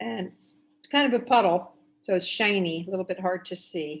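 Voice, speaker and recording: Speaking at a fairly slow pace, a woman talks with a New Jersey accent. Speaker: watercolor artist and art teacher. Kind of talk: painting tutorial demo.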